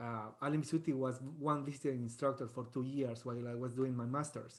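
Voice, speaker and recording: Speaking with a strong Colombian accent, a man keeps a fairly quick pace. His pitch is fairly high and his intonation fairly even. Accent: thick Colombian Spanish. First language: Spanish. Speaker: trumpet professor. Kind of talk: guest talk in online masterclass. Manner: halting, many fillers and repetitions.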